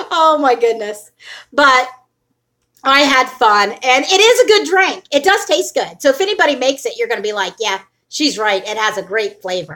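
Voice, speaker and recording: A woman's high, bright, sharp voice is raised and projected, with very wide pitch swings. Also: moderate pace. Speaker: vlogger, weight loss channel. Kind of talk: casual livestream chat. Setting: home livestream. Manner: loud.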